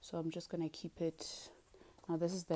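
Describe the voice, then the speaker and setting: Speaking at a moderate pace, a woman with a South African accent has a fairly low pitch and a dark, mellow tone. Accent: South African (Zulu) English. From South Africa (Zulu). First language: Zulu. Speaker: beauty and fitness vlogger. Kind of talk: casual tutorial vlog. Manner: chatty, animated.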